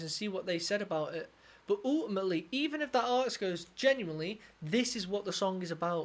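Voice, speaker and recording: A woman speaks in a southern English accent at a fairly high pitch. Her tone is animated and her intonation lively. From southern England. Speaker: music reaction YouTuber, guitarist. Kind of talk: music reaction commentary.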